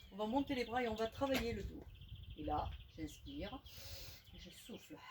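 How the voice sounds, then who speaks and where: A woman speaks at a moderate pace with big swings in loudness against noticeable background noise. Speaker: fitness instructor. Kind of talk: exercise tutorial.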